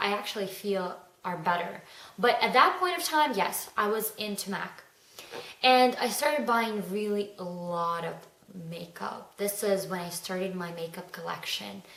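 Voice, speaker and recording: A woman talks at a moderate pace with ordinary pitch variation. The recording has audible room echo and noticeable background noise. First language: not English. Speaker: beauty vlogger. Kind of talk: casual vlog monologue. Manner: hesitant, with fillers.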